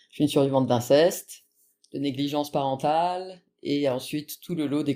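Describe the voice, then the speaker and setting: Speech proceeds at a moderate pace. Its intonation stays fairly even. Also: woman. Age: 40s. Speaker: abuse survivor giving testimony. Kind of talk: testimony interview. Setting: podcast.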